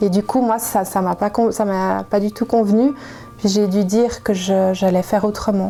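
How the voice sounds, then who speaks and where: Over music in the background, a woman speaks at a fairly slow pace with a medium pitch, fairly even intonation and very even loudness. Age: 40s. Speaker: nurse. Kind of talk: interview answer.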